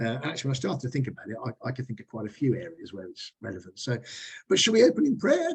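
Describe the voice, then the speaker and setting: Somewhat breathy, a man races along at a very fast pace from a medium pitch, with very wide pitch swings and big swings in loudness. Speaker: business network meeting leader. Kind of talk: small group meeting discussion. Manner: halting.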